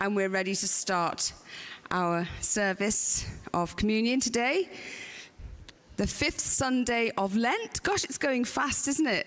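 A woman speaks at a very slow pace. She leaves long pauses, and they come often. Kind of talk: church welcome address. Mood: warm, light-hearted, laughing. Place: church. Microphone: podium.

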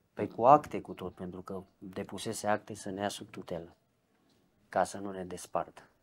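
At a moderate pace, a man with a fairly low pitch keeps fairly even intonation while his loudness swings widely. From Romania, Brașov; Romania. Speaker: ex-convict; interviewee. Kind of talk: interview testimony; interview answer. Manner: halting. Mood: reflective, recounting painful childhood. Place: home room. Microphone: lapel.

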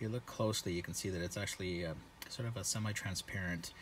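Over light background noise, a man speaks with a very deep, low pitch and ordinary pitch variation. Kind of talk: casual demo narration. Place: car. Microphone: phone near.

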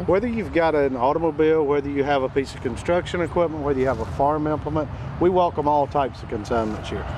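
Over noticeable background noise, a man with a fairly high pitch talks very fast with ordinary pitch variation. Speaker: auctioneer, business owner. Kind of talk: TV business segment interview answer.

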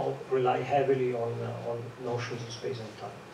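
There is audible room echo as a man speaks in a slightly mellow tone.

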